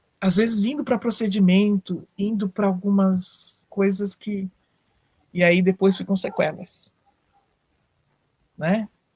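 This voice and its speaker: A woman speaks somewhat breathily at a medium pitch and a fairly slow pace, her intonation fairly even and the sound dry and close with no echo. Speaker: psychologist. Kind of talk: live talk on psychology. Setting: online live stream. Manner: conversational, with fillers and self-corrections.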